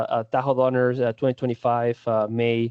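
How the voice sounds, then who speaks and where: Speaking fairly quickly, a man talks with a Spanish accent. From Spain. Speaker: defensible space supervisor. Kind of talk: presentation.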